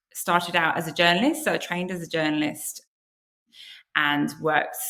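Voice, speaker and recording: A woman's fairly low voice with a British accent, a bright, sharp tone, fairly even intonation and a fairly quick pace. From UK. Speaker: content marketer, former journalist. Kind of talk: podcast interview.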